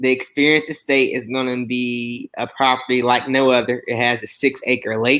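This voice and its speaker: With a Southern US accent, a man speaks at a moderate pace and medium pitch in a bright, sharp tone, leaving hardly any pauses. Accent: Southern country twang. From US South, Mobile, Alabama. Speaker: chef. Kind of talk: casual chat. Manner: animated.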